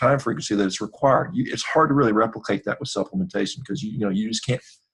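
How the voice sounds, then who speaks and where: This man's voice has vocal fry and sits at a medium pitch. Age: 50s. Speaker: surgeon and athlete. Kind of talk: interview.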